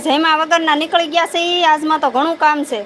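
A woman speaks at a high pitch. Noticeable background noise runs behind her. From Gujarat, Bhavnagar district (Saurashtra). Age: 60s. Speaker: village live-streamer. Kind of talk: casual live stream chat with viewers.

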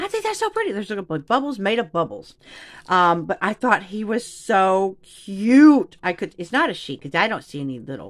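Speaking at a moderate pace against a quiet background, a woman sounds animated, her pitch swinging very widely. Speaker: craft YouTuber. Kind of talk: casual unboxing video. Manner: animated, excitable. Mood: excited, playful. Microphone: phone near.

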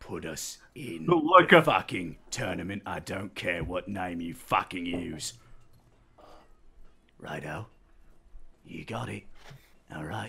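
A man puts on a raspy character voice with a very deep, low pitch, ordinary pitch variation, big swings in loudness, a fairly slow pace and long, frequent pauses. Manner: surly, blunt, cursing.

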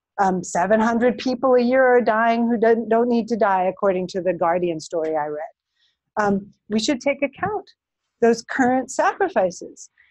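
Lively intonation marks a woman's fairly high-pitched, ordinary speaking voice. She talks at a moderate pace against a quiet background. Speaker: professor of philosophy and politics. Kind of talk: lecture; audience Q&A. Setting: lecture room with audience; recorded talk.

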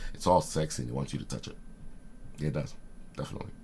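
A man speaks in an animated tone, with vocal fry in his voice. Light background noise sits behind him. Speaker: writer and video host; video host. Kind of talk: casual talk to camera. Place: home room. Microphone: webcam.

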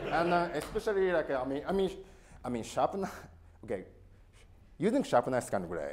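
A man speaks with a Japanese accent. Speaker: knife sharpener. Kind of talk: talk to a live audience. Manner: casual. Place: hall.

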